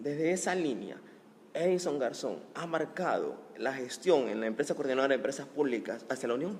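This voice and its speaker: An ordinary speaking voice runs at a fairly quick pace, its pitch varying in an ordinary way. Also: man, fairly high pitch for a man. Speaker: interviewer, talk show host. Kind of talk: interview.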